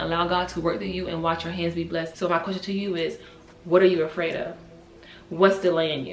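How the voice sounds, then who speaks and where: A woman's animated, fairly low voice at a very fast pace, with noticeable background noise and audible room echo. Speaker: vlogger. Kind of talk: motivational faith vlog.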